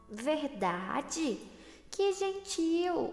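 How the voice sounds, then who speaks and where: A woman's put-on character voice at an extremely high pitch, with a slight echo and faint music in the background. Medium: read story.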